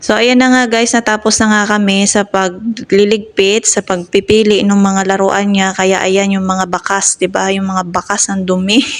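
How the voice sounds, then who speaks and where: A woman's medium-pitched, monotone, flat delivery with hardly any pauses. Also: moderate pace. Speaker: nanny vlogger. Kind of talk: vlog narration.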